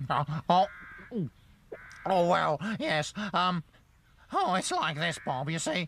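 Using a cartoonish character voice, a man speaks high and raspy at a very slow pace. Long, frequent pauses break up his words. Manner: cheeky, boastful, wheedling.

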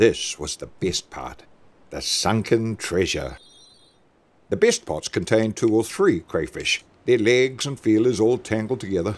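This man talks at a moderate speed. Vocal fry runs through his voice. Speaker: narrator. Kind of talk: animated story narration.

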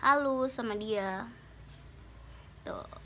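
With ordinary pitch variation, a woman speaks in an upbeat tone at a fairly high pitch. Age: 20s. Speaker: beauty vlogger. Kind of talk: casual talk to camera. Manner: upbeat, chatty. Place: home room. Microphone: phone near.

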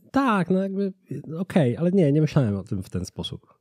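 A very fast, somewhat breathy man's voice, dark and mellow in tone, with very wide pitch swings, dry with no echo against a quiet background. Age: 30s. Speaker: business consultancy founder; podcast guest. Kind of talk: casual interview. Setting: studio. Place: studio. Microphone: studio mic.

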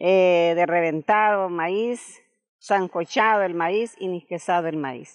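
Very slowly, a woman with a fairly low pitch speaks with ordinary pitch variation against a quiet background. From Nicaragua. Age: 70s. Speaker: traditional cook. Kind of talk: interview. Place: garden. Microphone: handheld.

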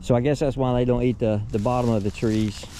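A man with a fairly low pitch and a dark, mellow tone.

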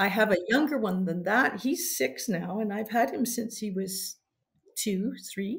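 A woman talks at a moderate pace with ordinary pitch variation and a somewhat breathy sound. The background is quiet. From Canada. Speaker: mounted games competitor and referee trainer. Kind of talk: interview. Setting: call. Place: home room.

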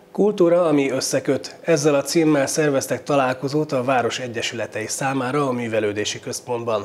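At a moderate pace, a man talks with hardly any pauses and ordinary pitch variation. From Hungary. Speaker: TV news presenter. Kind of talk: news reading. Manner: formal. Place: studio. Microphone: lapel.

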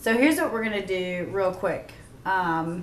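Audible room echo and light background noise surround a woman speaking at a moderate pace. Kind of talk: tutorial.

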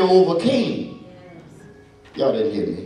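Audible room echo and faint background music surround a man's voice. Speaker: preacher. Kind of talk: sermon. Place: church.

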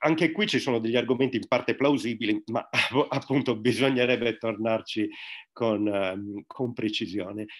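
The voice moves at a moderate pace with ordinary pitch variation. The background is quiet. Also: man, medium pitch for a man. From Sardinia. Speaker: religion teacher and secularist activist; interview guest. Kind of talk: online talk. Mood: critical, explanatory. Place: home room. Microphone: webcam.

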